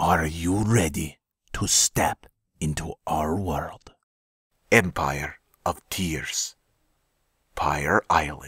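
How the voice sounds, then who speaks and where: In a put-on character voice, a man speaks very slowly in a raspy, very deep, low register with a solemn, dramatic tone and long, frequent pauses, the sound dry and close with no echo. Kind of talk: movie trailer voice-over. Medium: voice reel.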